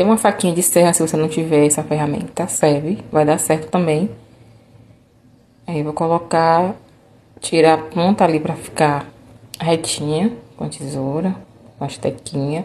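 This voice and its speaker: Very deep and low in pitch, a woman talks at a moderate pace with fairly even intonation and long, frequent pauses. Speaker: craft tutorial maker. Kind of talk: tutorial. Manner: casual, chatty.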